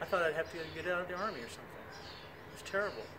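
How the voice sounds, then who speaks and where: This man's high-pitched voice comes with audible room echo and noticeable background noise. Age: 60s. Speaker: fitness instructor. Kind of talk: tutorial. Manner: animated.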